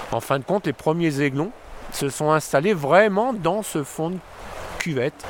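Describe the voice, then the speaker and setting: Noticeable noise is audible in the background. The speech has lively intonation. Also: man. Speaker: local guide. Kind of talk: guided walk commentary.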